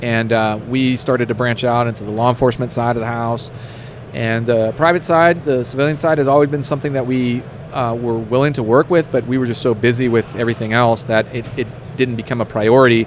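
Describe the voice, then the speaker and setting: A man at a medium pitch, very fast pace and fairly even intonation, over noticeable background noise. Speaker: firearms instructor. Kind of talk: interview.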